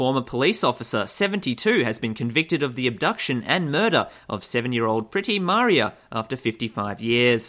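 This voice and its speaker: A man speaks at a fairly quick pace with hardly any pauses, in a medium pitch with lively intonation. His tone is bright and sharp in a very clean recording with a silent background. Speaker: satirical news host. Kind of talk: comedic news parody.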